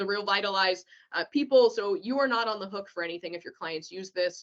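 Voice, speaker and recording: Moderate pace and ordinary pitch variation in an unremarkable speaking voice. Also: woman. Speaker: real estate office trainer. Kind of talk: online training walkthrough. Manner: many filler words.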